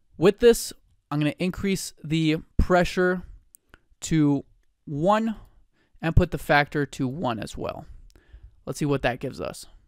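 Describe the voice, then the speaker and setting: In a very clean recording with a silent background and a dry, close sound with no echo, a man speaks in an animated tone at a fairly high pitch with ordinary pitch variation and long, frequent pauses. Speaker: 3D software tutorial creator. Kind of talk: tutorial.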